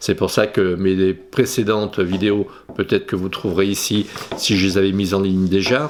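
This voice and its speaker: Moderate pace and fairly low pitch from a man. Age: 60s. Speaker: photography youtuber. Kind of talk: casual vlog monologue. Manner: halting, many hesitations.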